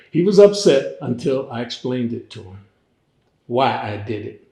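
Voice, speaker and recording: The voice is somewhat breathy, with lively intonation and a fairly slow pace. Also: man. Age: 80s+. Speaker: fraternity elder. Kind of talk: interview. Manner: conversational, storytelling.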